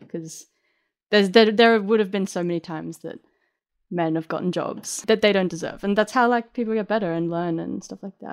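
Speaking at a fairly quick pace with an Australian accent, a woman has a medium pitch, ordinary pitch variation and big swings in loudness. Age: 20s. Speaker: music producer and DJ. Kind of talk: interview. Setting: remote call from home.

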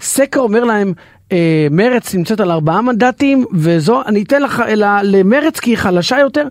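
A man's high voice at a fairly slow pace, with lively intonation and a dry, close sound with no echo. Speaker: radio guest host. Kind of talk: casual chat. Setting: studio.

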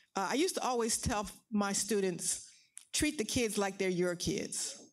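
In an American accent, a woman talks at a medium pitch with vocal fry, and the room echo is audible. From US Northeast, Philadelphia. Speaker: education professor. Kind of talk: public interview on stage.

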